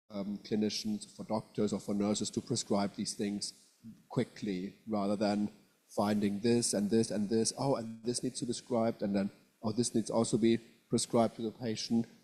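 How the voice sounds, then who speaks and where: A man talks at a fairly low pitch with a dark, mellow tone. His intonation is monotone and flat, at a moderate pace. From southwest Germany. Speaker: professor. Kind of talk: lecture. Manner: halting.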